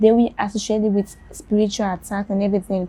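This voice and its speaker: Her voice is dark and mellow, somewhat breathy, at a medium pitch for a woman and delivered in a monotone, flat way. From Sierra Leone. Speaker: blind journalist. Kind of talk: interview testimony.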